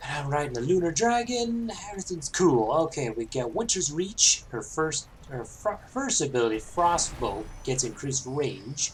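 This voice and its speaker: Moderate pace with hardly any pauses, over noticeable background noise. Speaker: gaming video creator. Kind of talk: gameplay tutorial commentary.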